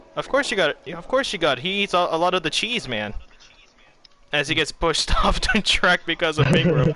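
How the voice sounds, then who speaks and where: A man with an American accent speaks in a high, animated voice. His intonation is lively. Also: moderate pace. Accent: sounds American to some listeners. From Bermuda. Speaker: esports commentator. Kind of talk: live commentary. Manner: casual, animated.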